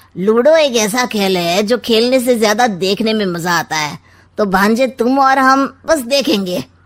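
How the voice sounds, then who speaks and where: A woman does a cartoonish character voice, fairly high-pitched with lively intonation. She keeps a moderate pace with hardly any pauses. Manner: sly, teasing, rhyming wisecracks.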